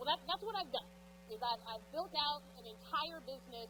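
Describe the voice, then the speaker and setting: A woman speaks at a moderate pace with an American accent. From East Texas. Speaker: realtor and business coach. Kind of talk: conference talk. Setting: stage with audience. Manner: loud; informal.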